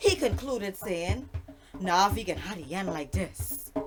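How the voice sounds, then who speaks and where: A woman speaks with a Bahamian accent over music in the background. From Bahamas. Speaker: storyteller. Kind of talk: folk tale storytelling.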